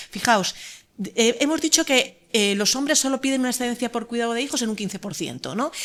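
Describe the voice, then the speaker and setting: Fairly high female voice, ordinary in its pitch variation. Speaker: law professor. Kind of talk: conference talk. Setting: conference panel. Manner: fast.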